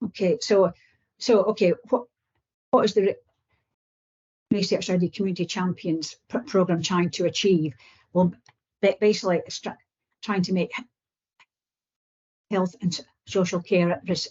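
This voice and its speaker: Somewhat breathy speech broken by long, frequent pauses. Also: woman, medium pitch for a woman, ordinary pitch variation, moderate pace. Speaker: research programme presenter. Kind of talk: presentation. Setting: video call into a meeting. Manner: halting, repeated syllables.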